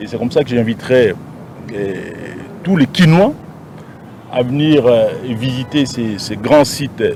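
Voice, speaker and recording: At a fairly slow pace, a man speaks with ordinary pitch variation over noticeable background noise. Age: 60s. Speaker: city governor. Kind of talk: press interview. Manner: halting, with hesitations.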